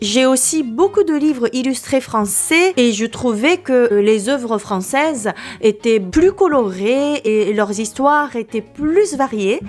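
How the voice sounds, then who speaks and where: Over music in the background, a woman with a Japanese accent speaks at a very slow pace with a high pitch, lively intonation and hardly any pauses. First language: Japanese (speaking French). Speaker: Japanese teacher and translator. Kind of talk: book presentation vlog.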